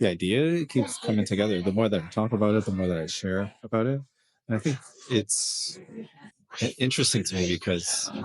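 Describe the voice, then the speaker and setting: Soft-spoken and mumbling, a man talks at a fairly quick pace with a fairly low pitch for a man. His intonation is lively. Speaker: video blogger. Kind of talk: casual vlog monologue. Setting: kid's birthday party in an escape room.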